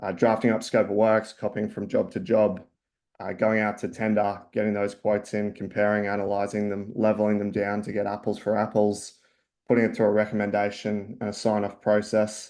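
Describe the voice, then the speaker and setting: This man speaks with an Australian accent in a fairly low pitch, moving at a fairly quick pace. His intonation stays monotone and flat against a quiet background. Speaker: company founder and CEO. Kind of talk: webinar presentation. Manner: hesitant, many fillers.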